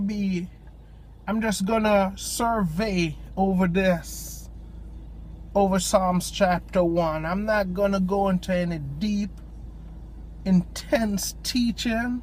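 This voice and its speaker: With a strong Jamaican accent, a man speaks at a very slow pace, leaving long, frequent pauses. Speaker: lay preacher. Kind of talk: informal devotional talk. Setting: in a parked car at a park. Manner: hesitant, many ums.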